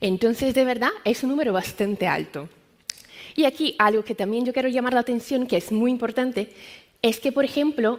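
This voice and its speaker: High female voice, fairly quick, with ordinary pitch variation. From Brazil. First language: Portuguese (speaking Spanish). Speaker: medical science liaison. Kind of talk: conference talk.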